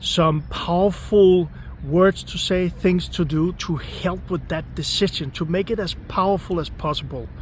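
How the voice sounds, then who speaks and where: Fairly slow speech from a man with a non-native accent, over noticeable background noise. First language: not English. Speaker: manifestation coach. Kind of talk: motivational talk. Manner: repetitive, emphatic.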